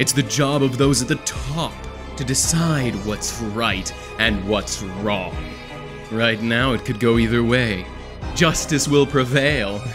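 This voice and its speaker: A man speaks at a very slow pace with ordinary pitch variation. Music plays in the background. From Canada. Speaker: voice actor. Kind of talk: voice acting demo, dramatic scripted monologue. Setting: recorded with background music. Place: home room.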